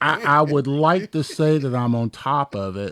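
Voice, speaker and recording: In a plain, everyday voice, a man speaks at a fairly slow pace with ordinary pitch variation, the sound dry and close with no echo. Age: 50s. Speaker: retired police captain. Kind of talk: casual chat. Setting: radio studio.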